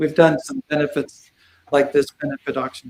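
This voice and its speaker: A man with an ordinary speaking voice talks at a fairly quick pace and a fairly high pitch, recorded dry and close with no echo. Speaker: auctioneer and realtor, former TV news reporter. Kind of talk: casual talk before a recorded video call.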